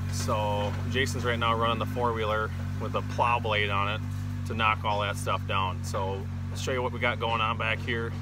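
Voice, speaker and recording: Music plays behind a man's voice. The sound is dry, with no echo. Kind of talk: casual vlog chat. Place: open country. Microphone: phone near.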